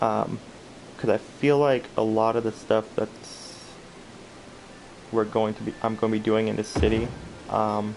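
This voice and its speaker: A man's fairly low, monotone voice with flat intonation, at a fairly slow pace with long, frequent pauses, over noticeable background noise. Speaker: video game streamer. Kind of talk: gameplay commentary. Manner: casual, hesitant with many fillers.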